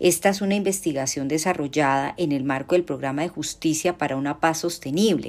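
On a very clean recording with a silent background, a woman speaks at a moderate pace. Her pitch is very deep and low, and her intonation fairly even. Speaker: law professor. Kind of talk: academic talk. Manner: formal.

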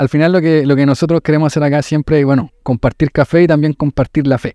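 A voice with a Chilean accent has a dark, mellow tone, recorded dry and close with no echo against a quiet background. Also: man. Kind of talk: faith reflection; casual interview. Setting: café.

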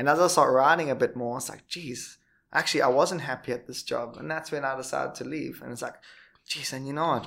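A man with a South African accent rattles along at a very fast pace in a bright, sharp tone, his pitch fairly high and his intonation fairly even, with big swings in loudness on a very clean recording with a silent background. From Durban, South Africa. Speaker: podcast host. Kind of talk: casual interview chat.

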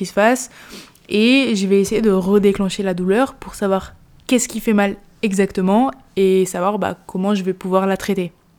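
Here is a woman with an ordinary speaking voice. Her pitch is medium and her pace moderate. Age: 20s. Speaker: sports physiotherapist and strength coach. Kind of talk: solo podcast monologue. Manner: casual, with frequent fillers.

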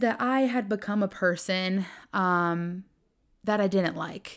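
In a Southern US accent, a woman speaks with an animated tone and lively intonation. The recording is very clean, with a silent background. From US South, Greenville, South Carolina. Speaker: podcast host. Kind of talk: faith-based solo monologue.

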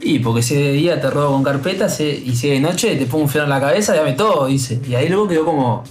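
A man's fairly high-pitched voice at a very fast pace with hardly any pauses, very even loudness and ordinary pitch variation, plus audible room echo and music in the background. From Uruguay. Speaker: radio co-host. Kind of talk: casual chat.

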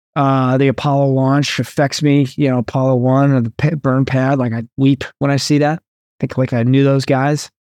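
The sound is dry and close with no echo as a man speaks at a moderate pace and very even loudness, medium-pitched and monotone. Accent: American. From New Jersey. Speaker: Navy veteran and breathwork coach. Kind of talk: casual interview chat.

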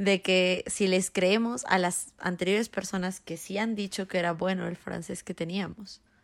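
A woman talks at a fairly slow pace in a plain, everyday voice, medium in pitch with fairly even intonation. The recording is very clean with a silent background. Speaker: podcast co-host. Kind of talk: casual chat.

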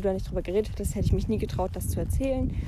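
Against noticeable background noise, a woman speaks with audible room echo. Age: young. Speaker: podcaster. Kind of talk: casual monologue. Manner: hesitant, many filler sounds.

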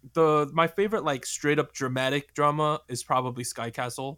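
In a New Jersey accent, a man speaks at a moderate pace with ordinary pitch variation on a very clean recording with a silent background. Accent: American, New Jersey. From New Jersey, US. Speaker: K-pop podcast host. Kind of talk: casual chat.

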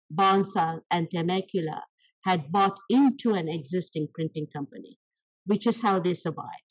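A woman with an Indian accent and a somewhat breathy voice. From South India. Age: 70s. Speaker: small business owner. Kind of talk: interview. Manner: animated.

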